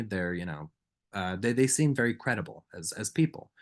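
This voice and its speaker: Over a quiet background, a man talks with an American accent. His pitch sits fairly low. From Massachusetts, Danvers. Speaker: film critic. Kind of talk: lecture. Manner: fast.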